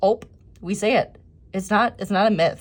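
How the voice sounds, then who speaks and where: With a strong Minnesotan accent, a woman talks at a moderate pace. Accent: thick Minnesota. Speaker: planner designer and YouTuber. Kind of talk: tutorial walkthrough. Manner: casual, chatty.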